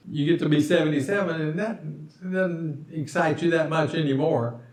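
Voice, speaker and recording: A man's fairly high voice, with normal pitch movement, is heard through audible room echo and noticeable background noise. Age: 70s. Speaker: expat video maker. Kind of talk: casual chat. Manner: halting.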